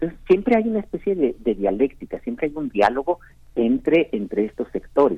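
The speaker is a man with a fairly high pitch. His voice moves through very wide pitch swings. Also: fairly quick pace. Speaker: historian. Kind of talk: book review on radio. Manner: halting with many repetitions.

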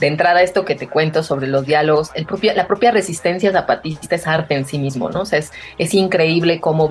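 Music plays in the background behind a woman. Her pitch is very deep and low, and her pace is moderate. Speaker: dancer and activist. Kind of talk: radio interview.

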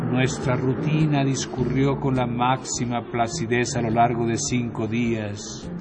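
A man speaks at a medium pitch and a very slow pace. Music plays in the background. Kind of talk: horror audiobook narration, first-person gothic reading aloud. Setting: radio studio. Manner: slow, measured, solemn, dramatic storytelling with ominous pauses and suspenseful build.

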